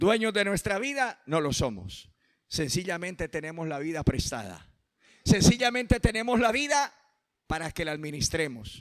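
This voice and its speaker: Animated and high-pitched, a man speaks at a moderate pace with very wide pitch swings. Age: 50s. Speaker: pastor. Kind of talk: sermon.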